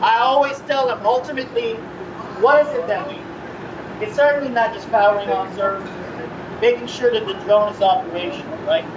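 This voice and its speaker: A man talks at an extremely high pitch and a fairly quick pace, with ordinary pitch variation and long, frequent pauses. Noticeable background noise and audible room echo surround him. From Philippines. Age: 40s. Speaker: foundation president and Air Force veteran. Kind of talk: public speech. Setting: music festival stage with audience. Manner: conversational, frequent 'right?' tags.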